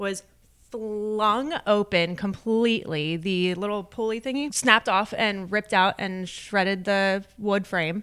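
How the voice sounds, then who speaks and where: A woman with a Philadelphia accent talks at a fairly slow pace, her bright, sharp tone set at medium pitch with ordinary pitch variation. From US, Delaware County, Pennsylvania (Philadelphia area). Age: 30s. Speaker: real estate agent and podcast co-host. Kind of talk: casual chat.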